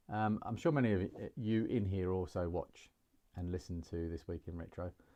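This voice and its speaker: With a relaxed, dark and mellow tone, a man speaks fairly quickly at a very deep, low pitch, using ordinary pitch variation. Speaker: retro computing YouTuber. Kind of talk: casual chat while building hardware on a live stream. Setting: live stream. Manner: relaxed, hesitant with many fillers.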